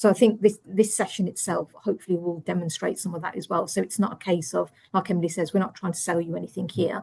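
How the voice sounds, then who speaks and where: A woman in an English accent speaks at a very fast pace with hardly any pauses, in a medium pitch. Her voice is somewhat breathy with a dark, mellow tone and fairly even intonation. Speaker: internal audit director. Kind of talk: webinar presentation.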